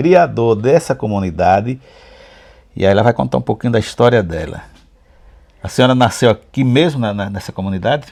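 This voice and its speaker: A man at medium pitch talks at a moderate pace, with long, frequent pauses. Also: lively intonation. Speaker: local cultural channel interviewer. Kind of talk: casual talk to camera, interview questions.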